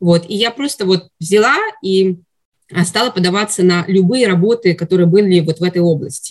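Somewhat breathy, a woman speaks at a moderate pace in a medium pitch with ordinary pitch variation. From Russia. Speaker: psychiatry resident, former pediatrician. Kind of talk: interview. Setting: studio.

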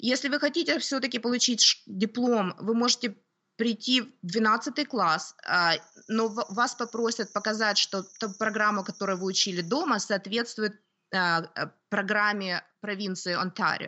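Fairly high in pitch, a woman talks at a fairly slow pace with ordinary pitch variation. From Ukraine, Kyiv. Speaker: homeschooling mother, lawyer. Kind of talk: interview. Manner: hesitant, with fillers.

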